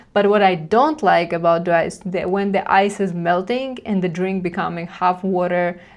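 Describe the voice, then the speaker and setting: Speaking with a Russian accent, a woman holds a medium pitch and fairly even intonation at a moderate pace. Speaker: reaction commentator. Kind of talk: reaction commentary. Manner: halting.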